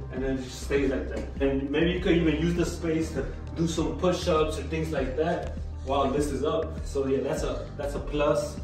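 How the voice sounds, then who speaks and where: Clear music plays in the background as a man talks at a moderate pace with audible room echo. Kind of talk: casual vlog chat. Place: gym. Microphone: camera far.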